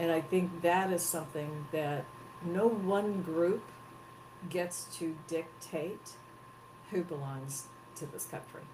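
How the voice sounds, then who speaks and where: A woman's very deep, low voice at a fairly slow pace, with ordinary pitch variation, audible room echo and noticeable background noise. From Texas, US South. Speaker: head of an advocacy organization. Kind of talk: interview. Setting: live broadcast.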